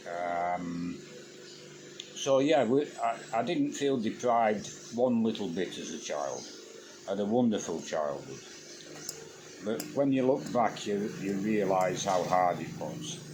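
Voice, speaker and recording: In a Yorkshire accent, a man with a fairly low pitch and very wide pitch swings talks in a relaxed tone at a fairly slow pace with long, frequent pauses, amid noticeable background noise and audible room echo. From Yorkshire, England (Huddersfield area). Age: 70s. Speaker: YouTuber, expat farmer. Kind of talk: casual monologue. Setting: at home, quiet morning. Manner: relaxed, some hesitations.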